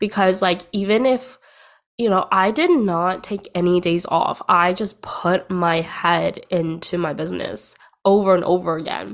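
This is an unremarkable speaking voice with ordinary pitch variation, moving at a fairly slow pace. The recording is very clean, with a silent background. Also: woman, medium pitch for a woman. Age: 20s. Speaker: podcast host and business coach. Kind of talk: personal solo monologue. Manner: casual with fillers.

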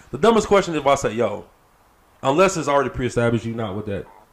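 A man's very fast, lively delivery with vocal fry. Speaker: podcast co-host. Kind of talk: casual chat. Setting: studio.

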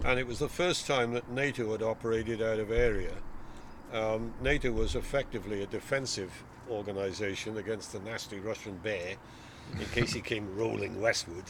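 A man at a fairly quick pace with a Welsh accent. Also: medium pitch for a man, ordinary pitch variation. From South Wales. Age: 70s. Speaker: retired navy officer. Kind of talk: casual interview.

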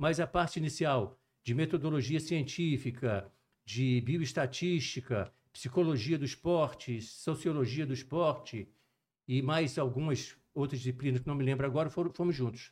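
Speaking at a moderate pace, a man with a fairly high, somewhat breathy voice uses ordinary pitch variation. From Brazil, Juiz de Fora (Minas Gerais) and Rio de Janeiro. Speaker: cardiologist and sports medicine physician. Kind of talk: podcast interview.

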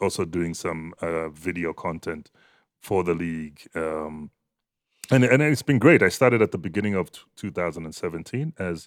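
Speech comes at a moderate pace. The recording is very clean and dry, close with no echo and a silent background. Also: man. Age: 40s. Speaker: journalist and voice artist. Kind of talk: casual chat.

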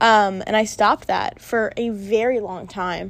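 This is a woman's voice. Her pitch is fairly high. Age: 20s. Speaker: solo podcaster, college student. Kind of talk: casual monologue.

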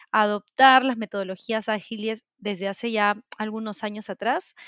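In a plain, everyday voice, a woman talks at a fairly high pitch, the sound dry and close with no echo. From Peru. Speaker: corporate culture manager and remote work advocate. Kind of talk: interview.

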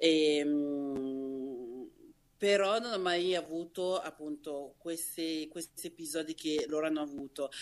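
The speech moves at a very slow pace. It comes in a Lombard accent. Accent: Varese. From Varese area, northern Italy (born in Nigeria, moved at nine). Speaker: Instagram creator, interview guest. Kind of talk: casual interview chat.

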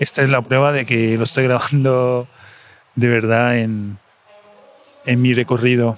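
A man speaks at a fairly slow pace with long, frequent pauses, his medium-pitched voice monotone and flat in intonation and very even in loudness. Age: 40s. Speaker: podcaster. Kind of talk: personal audio diary monologue. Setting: airport waiting area. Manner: halting, many fillers and repetitions.

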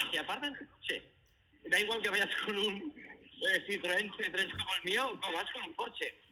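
Amid noticeable background noise, a man uses a raised, projected voice, high in pitch and at a fairly slow pace. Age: 50s. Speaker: guest. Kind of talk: casual chat. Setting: phone call.

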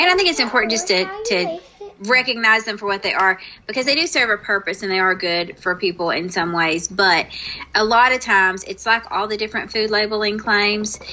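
A woman speaks at a fairly quick pace with lively intonation and a fairly high pitch, over noticeable background noise. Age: 40s. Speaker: podcast co-host. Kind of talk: casual chat.

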